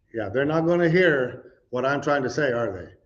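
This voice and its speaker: Audible room echo lingers as a man speaks, his pitch varying in an ordinary way. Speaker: preacher. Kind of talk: sermon. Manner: halting.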